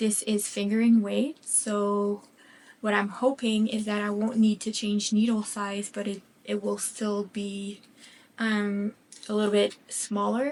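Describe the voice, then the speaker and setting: A woman's medium-pitched voice with a slight French Canadian accent, monotone and flat, at a fairly slow pace over a quiet background. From Quebec, French Canada. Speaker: craft vlogger. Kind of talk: casual chat. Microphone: new microphone with sound issues.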